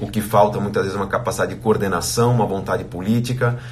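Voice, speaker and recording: A man at medium pitch with fairly even intonation, amid noticeable background noise and audible room echo. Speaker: financial educator, live streamer. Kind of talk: casual live chat recap. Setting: live stream. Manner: halting, many fillers.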